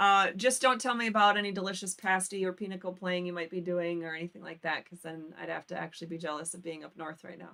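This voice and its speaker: A woman with an American accent talks at a very fast pace with hardly any pauses, in a fairly low pitch and a bright, sharp tone. Her intonation is fairly even, though her loudness swings widely. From Michigan Upper Peninsula. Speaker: call-in show host on constitutional law. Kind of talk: live call-in show.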